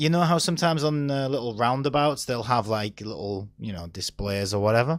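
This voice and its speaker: Speaking at a fairly quick pace with hardly any pauses, a man with a Teesside accent uses lively intonation at a medium pitch. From northern England, Stockton-on-Tees. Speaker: talk show co-host. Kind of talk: casual chat.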